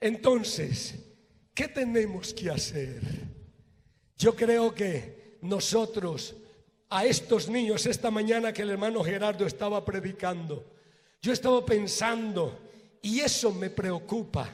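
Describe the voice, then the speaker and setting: With ordinary pitch variation, the delivery crawls along very slowly, broken by long, frequent pauses. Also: man, high pitch for a man. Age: 60s. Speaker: pastor. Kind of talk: sermon.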